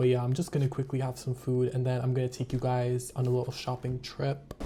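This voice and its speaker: A man at medium pitch and a fairly quick pace, monotone and flat, over noticeable background noise. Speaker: vlogger. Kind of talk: casual vlog talk to camera. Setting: outdoors walking on a city street. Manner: casual, filler-heavy.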